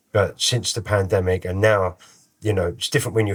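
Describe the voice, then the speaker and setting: Somewhat breathy and fairly low-pitched, a man with a London accent talks at a fairly quick pace with fairly even intonation, in a very clean recording with a silent background. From London, Islington (Holloway). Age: 50s. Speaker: musician and rapper. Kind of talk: interview conversation. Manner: casual, relaxed.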